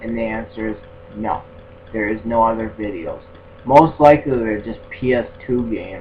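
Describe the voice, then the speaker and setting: With music in the background, a man mumbles, his loudness swinging widely and his speech broken by long, frequent pauses. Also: medium pitch for a man, ordinary pitch variation, moderate pace. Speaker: gaming YouTuber. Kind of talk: casual video tutorial monologue. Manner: halting, repetitive; mumbling.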